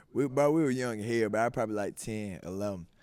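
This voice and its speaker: A man with a Georgia accent at a medium pitch and a fairly quick pace, on a very clean recording with a silent background. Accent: Southern US, Georgia. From South Georgia, USA. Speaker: rapper. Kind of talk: interview answer. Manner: casual, profane.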